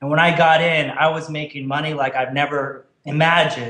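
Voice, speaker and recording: Audible room echo carries a man's fairly high-pitched voice. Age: 30s. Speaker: online marketer. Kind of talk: interview.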